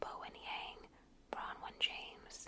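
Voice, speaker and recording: Noticeable background noise accompanies a whisper that is gentle in tone and very slow. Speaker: ASMR content creator. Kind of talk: ASMR reading of an encyclopedia article. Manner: gentle whispers, soft-spoken.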